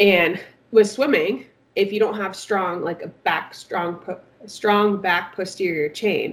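Using a plain, everyday voice, a woman speaks at a medium pitch and a fairly slow pace with fairly even intonation. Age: 20s. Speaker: swim coach. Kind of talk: casual chat.

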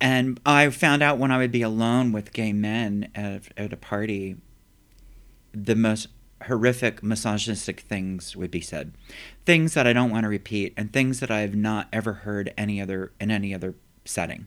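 On a very clean recording with a silent background, a man with an American accent uses an ordinary speaking voice with ordinary pitch variation. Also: fairly low pitch for a man, moderate pace. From US, factory town. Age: 50s. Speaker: poet. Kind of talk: interview. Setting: empty office.

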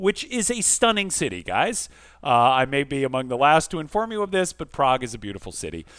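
At a fairly quick pace, a man with a fairly high voice speaks in very wide pitch swings. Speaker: podcast host. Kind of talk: casual chat.

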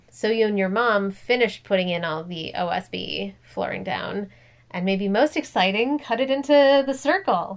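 A woman with an American accent talks at a moderate pace and medium pitch in an ordinary speaking voice, her intonation lively. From US Midwest, Minnesota. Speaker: podcast co-host. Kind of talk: casual chat.

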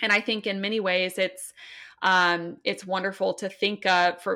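A bright, sharp voice speaks with an American accent at a moderate pace. The intonation is fairly even, and the recording is very clean with a silent background. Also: woman. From US. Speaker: novelist. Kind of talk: interview.

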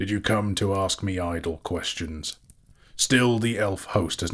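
Pitch varies in an ordinary way as someone reads aloud in a natural voice.

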